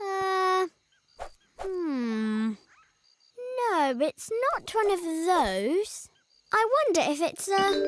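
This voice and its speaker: A cartoonish character voice at an extremely high pitch, very slow, with long, frequent pauses. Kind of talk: preschool cartoon voice acting. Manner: polite, gentle, considerate.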